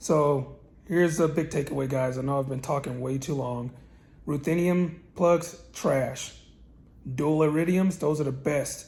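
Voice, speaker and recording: With a fairly high pitch and a somewhat breathy sound, a man speaks at a moderate pace using fairly even intonation. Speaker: car tuner and channel host. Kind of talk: casual tutorial. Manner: hesitant with fillers.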